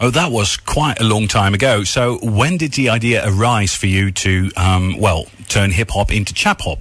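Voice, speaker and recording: In an unremarkable speaking voice, a man with an American accent talks at a fairly low pitch and a moderate pace, with ordinary pitch variation, very even loudness, and hardly any pauses. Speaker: radio host. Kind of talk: interview. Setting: studio.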